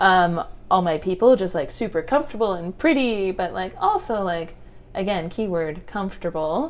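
A woman with a normal speaking voice and a Canadian accent, medium pitch, lively intonation and a moderate pace. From Ontario, Canada (Stratford). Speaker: makeup and brow artist. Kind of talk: casual chat. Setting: her studio.

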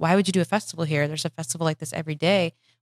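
In an ordinary speaking voice, a woman with an American accent talks at a fairly low pitch with fairly even intonation, and the sound is dry and close with no echo. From Michigan. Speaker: comedy festival producer. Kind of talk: casual interview. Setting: podcast studio.

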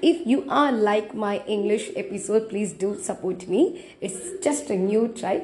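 A woman speaks fairly slowly at a fairly high pitch with very wide pitch swings. She hardly pauses, and background noise is noticeable. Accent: Tamil. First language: Tamil. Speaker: podcaster. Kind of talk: solo podcast monologue. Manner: halting.

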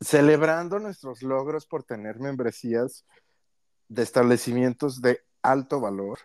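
The sound is dry and close with no echo, carrying a man's medium-pitched voice. He speaks at a fairly slow pace with ordinary pitch variation. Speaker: podcast co-host. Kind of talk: casual chat. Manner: laughs a lot.

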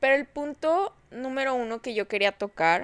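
A woman speaks in a normal speaking voice at a fairly slow pace, her intonation lively. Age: 20s. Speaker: podcast host. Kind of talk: casual monologue. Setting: lying in bed at home at night. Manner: relaxed, intimate.

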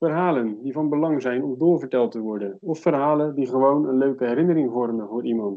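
Speaking at a fairly quick pace, a man with a fairly high pitch uses an unremarkable speaking voice and ordinary pitch variation. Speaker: podcast host. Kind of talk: casual interview.

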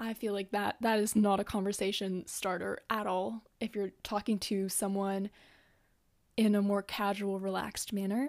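A woman speaks with a Canadian accent in a monotone, flat intonation. The recording is very clean, with a silent background. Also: medium pitch for a woman, moderate pace. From Canada. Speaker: podcast host. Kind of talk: casual monologue.

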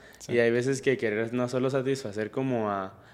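This is a man with a plain, everyday voice. He speaks at a moderate pace and medium pitch. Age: 20s. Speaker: podcast host. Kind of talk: casual interview chat.

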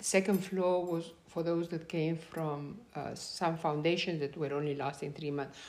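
Speaking with a Spanish accent, a woman keeps a moderate pace and fairly even intonation at a fairly low pitch, leaving hardly any pauses. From Peru. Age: 70s. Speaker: grandmother telling her life story. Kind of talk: casual storytelling interview. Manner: halting with fillers and repetitions; laughs often.

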